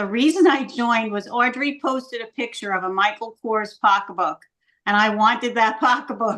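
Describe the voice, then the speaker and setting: At a moderate pace, a woman speaks in a fairly high pitch with ordinary pitch variation and a bright, sharp tone. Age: 70s. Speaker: sales director. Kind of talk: business meeting talk.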